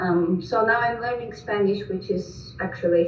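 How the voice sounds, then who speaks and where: Amid noticeable background noise and audible room echo, a woman speaks at a medium pitch with ordinary pitch variation. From Greece. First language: Greek, Russian and Georgian. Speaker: missionary. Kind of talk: presentation.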